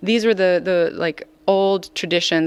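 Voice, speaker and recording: At a moderate pace, a woman talks in an American accent. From US, Colorado from age 14. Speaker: singer-songwriter. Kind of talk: interview. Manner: hesitant, many fillers.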